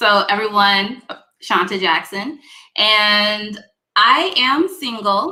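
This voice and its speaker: A woman speaks very slowly in a bright, sharp tone. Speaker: internet talk show host. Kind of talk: casual panel discussion. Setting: live stream video call.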